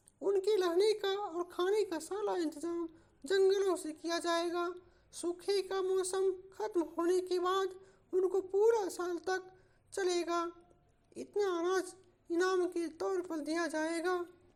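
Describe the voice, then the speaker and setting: In a cartoonish character voice, a woman talks fairly slowly at an extremely high pitch, her intonation monotone and flat. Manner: earnest, speechlike.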